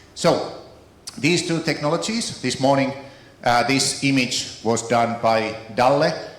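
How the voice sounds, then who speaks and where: Amid noticeable background noise and audible room echo, a man with a Finnish accent talks at a fairly slow pace and medium pitch, with ordinary pitch variation. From Finland. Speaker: keynote speaker on AI, author. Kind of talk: keynote speech.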